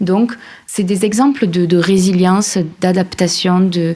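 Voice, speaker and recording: A woman's somewhat breathy, dark, mellow voice at medium pitch, with fairly even intonation. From France, Aveyron. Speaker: journalist and podcast creator. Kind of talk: interview.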